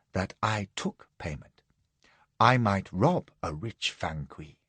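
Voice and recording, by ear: A man puts on a character voice. He is soft-spoken. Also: fairly low pitch for a man, fairly slow pace.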